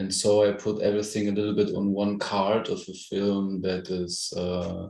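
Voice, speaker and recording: With a German accent, the voice has a dark, mellow tone and a monotone, flat intonation. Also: man, fairly low pitch for a man, moderate pace. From Germany. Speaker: film director. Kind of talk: interview. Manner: halting.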